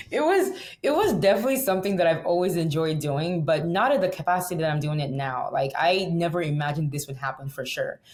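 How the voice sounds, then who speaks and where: In a Nigerian accent, the voice runs at a very fast pace with hardly any pauses. It is somewhat breathy, with lively intonation. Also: woman, fairly low pitch for a woman. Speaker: singer and plane crash survivor. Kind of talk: interview conversation.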